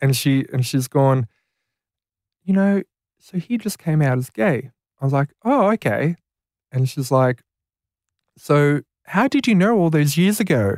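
In an Australian accent, a man speaks with fairly high pitch and lively intonation. His pace is fairly slow, broken by long, frequent pauses. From rural New South Wales, Australia. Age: 20s. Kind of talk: casual interview. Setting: studio.

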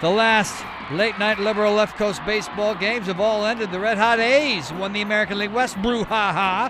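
Fairly quick speech from a man, with noticeable noise behind him. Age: 30s. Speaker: sports news update anchor. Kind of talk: news reading.

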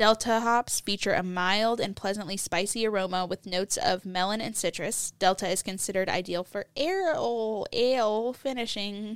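An ordinary speaking voice talks at a moderate pace with hardly any pauses and ordinary pitch variation. The recording is very clean, with a silent background. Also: woman, medium pitch for a woman. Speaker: beer podcast co-host. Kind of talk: casual chat.

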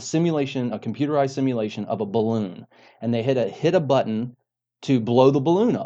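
In a quiet background, a man with an American accent speaks at a medium pitch in a dark, mellow tone. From North Carolina. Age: 40s. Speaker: mental health and addiction counselor. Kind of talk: interview testimony.

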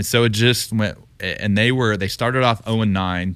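Very clean with a silent background, this recording has a man with an American accent speaking at a fairly quick pace in an ordinary speaking voice, his intonation fairly even. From Texas, Houston. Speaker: retired baseball player, TV analyst. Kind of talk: casual interview. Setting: studio.

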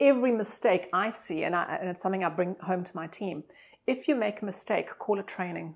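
A woman with a South African accent speaks at a fairly quick pace and medium pitch, recorded very cleanly against a silent background. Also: ordinary pitch variation. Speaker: hotel marketing director. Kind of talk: casual interview chat. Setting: hotel suite.

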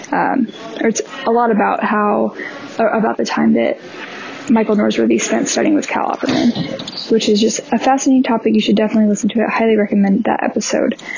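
A woman rushes along at a very fast pace while noticeable background noise plays behind her. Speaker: listener and volunteer copy editor.

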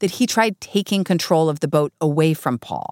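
A woman with an ordinary speaking voice talks at a moderate pace with lively intonation, in a dry, close sound with no echo. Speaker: podcast host. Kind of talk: scripted narration. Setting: studio.

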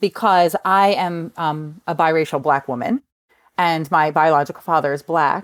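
A woman with a slight New Jersey accent speaks at a very deep, low pitch with ordinary pitch variation, in a dry, close sound with no echo. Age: 40s. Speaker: author and meditation teacher. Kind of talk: interview. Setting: video call.

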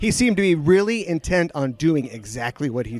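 This man's voice moves through very wide pitch swings. He is the speaker here. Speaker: podcast host. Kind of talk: casual chat, interview and news segments.

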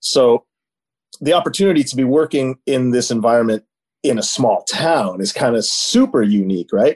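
A man speaks at a medium pitch with a Canadian accent, his pitch swinging very widely at a moderate pace. The sound is dry and close, with no echo. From Ontario, Canada (Niagara region). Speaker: animal welfare activist and former marine park trainer. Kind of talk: casual chat.

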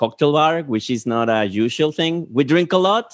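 Speaking with a Spanish accent, a man keeps a moderate pace. His fairly high pitch carries lively intonation. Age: 40s. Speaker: live stream host. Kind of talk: casual chat. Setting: video call.

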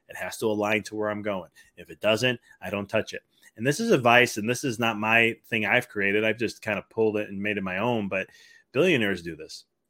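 Fairly quick and fairly low in pitch, a man with an American accent uses an ordinary speaking voice with fairly even intonation and big swings in loudness. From Chicago area. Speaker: chiropractor and mindset coach. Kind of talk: interview.

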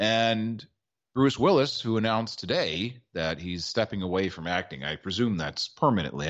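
With an ordinary speaking voice, a man of fairly low pitch talks at a fairly quick pace with lively intonation against a quiet background. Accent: American. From Maryland. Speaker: sports radio co-host. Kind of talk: casual banter, sports talk show.

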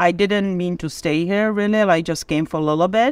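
Speech from a woman, very cleanly recorded against total silence. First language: Czech or Slovak. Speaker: tire shop worker and hockey parent. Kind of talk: interview.

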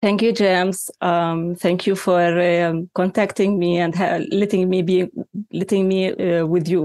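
A woman speaks fairly slowly in a Palestinian accent, with a dark, mellow tone. Her intonation is flat and monotone, and her loudness stays very even. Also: medium pitch for a woman, very clean recording, silent background. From Palestine. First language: Arabic. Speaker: journalists' union representative. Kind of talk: interview. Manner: halting.

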